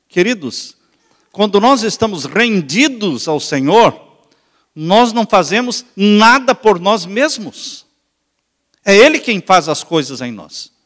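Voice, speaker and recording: Speaking very slowly with long, frequent pauses, a man with a Brazilian accent and a high pitch swings his pitch very widely. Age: 60s. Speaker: pastor. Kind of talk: sermon.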